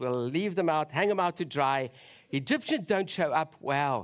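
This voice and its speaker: On a very clean recording with a silent background, a man with a South African accent speaks at a fairly slow pace, fairly high in pitch with lively intonation. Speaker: preacher. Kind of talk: sermon. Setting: church.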